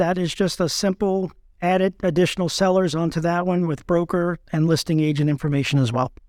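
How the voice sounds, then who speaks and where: Speaking at a fairly quick pace, a man with a high pitch keeps his intonation fairly even, the sound dry and close with no echo on a very clean recording with a silent background. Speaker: real estate agent, forms committee chair. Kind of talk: casual chat.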